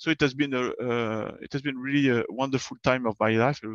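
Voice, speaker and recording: In a French accent, a man speaks at a medium pitch and moderate pace with fairly even intonation, the sound dry and close with no echo against a quiet background. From southern France, Bordeaux. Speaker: space agency engineer. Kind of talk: online presentation. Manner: hesitant, many fillers.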